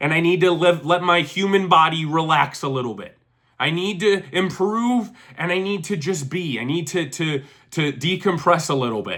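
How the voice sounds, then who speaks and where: Here a man speaks at a high pitch with ordinary pitch variation. His tone is animated. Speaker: vlogger. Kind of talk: casual vlog monologue.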